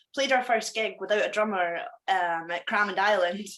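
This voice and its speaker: Her pitch fairly high and her intonation lively, a woman speaks in a strong Scottish accent. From Scotland. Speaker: punk musician. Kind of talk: casual interview.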